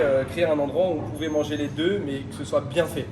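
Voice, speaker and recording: Noticeable background noise and audible room echo accompany a man speaking at a fairly quick pace. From France, Paris suburbs. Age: 20s. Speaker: restaurant owner. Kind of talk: interview. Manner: hesitant, many fillers.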